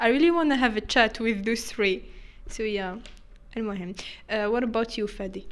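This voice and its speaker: Her pitch is fairly high, with ordinary variation. The woman talks at a moderate pace. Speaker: content creator. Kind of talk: casual chat. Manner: animated, frequent code-switching and laughter.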